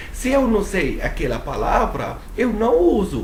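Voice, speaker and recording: Noticeable background noise and audible room echo accompany fairly slow speech. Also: man. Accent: non-native. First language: not Portuguese (speaking Portuguese). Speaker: English teacher. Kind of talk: tutorial.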